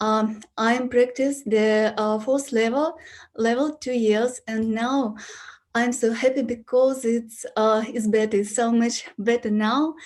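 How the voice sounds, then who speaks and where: Speaking very slowly with a non-native accent, a woman keeps a fairly high pitch and fairly even intonation. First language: Russian. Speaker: yoga student. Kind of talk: Q&A testimony. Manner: halting.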